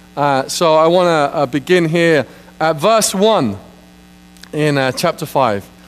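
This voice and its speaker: A man with ordinary pitch variation. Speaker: preacher. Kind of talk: sermon. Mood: light, joking. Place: church. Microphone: lapel.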